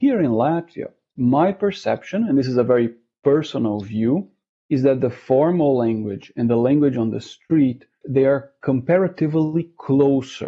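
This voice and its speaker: This man speaks with a Portuguese accent. His pitch sits fairly high. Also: ordinary pitch variation, moderate pace. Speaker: interviewee, language learner. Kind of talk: interview. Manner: hesitant, many fillers and repeats.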